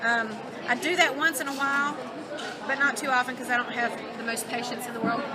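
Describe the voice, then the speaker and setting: A woman with a Southern US accent talks very fast in a high, raised, projected voice, with crowd noise behind her and audible room echo. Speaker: craft product demonstrator. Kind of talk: live product demo. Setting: trade show booth with small audience. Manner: casual, conversational.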